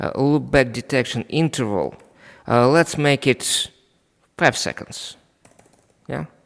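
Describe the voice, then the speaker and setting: Very slowly, a man at medium pitch speaks with a Russian accent and ordinary pitch variation. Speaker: network equipment trainer. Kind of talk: live technical demonstration. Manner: halting, many fillers.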